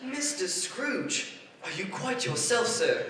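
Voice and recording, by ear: Using a put-on character voice, a man talks slowly at a high pitch with big pitch swings and a bright, sharp tone, with audible room echo around him.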